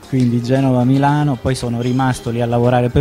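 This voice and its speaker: Faint music plays behind a man speaking at a medium pitch. His pace is very fast. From Sicily, province of Caltanissetta; Sicily. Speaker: visual artist and interior decorator; radio guest. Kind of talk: interview. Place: studio. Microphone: studio mic.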